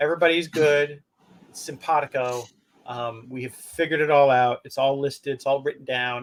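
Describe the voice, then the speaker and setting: With a plain, everyday voice, a man speaks at a moderate pace in a fairly high pitch and fairly even intonation. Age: 60s. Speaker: podcast co-host. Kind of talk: casual chat.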